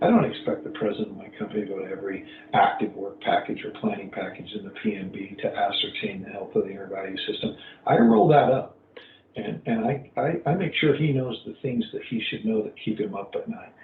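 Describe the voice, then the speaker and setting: A man's loudness swings widely against noticeable background noise. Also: fairly quick pace. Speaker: earned value management practitioner. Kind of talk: webinar presentation. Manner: halting.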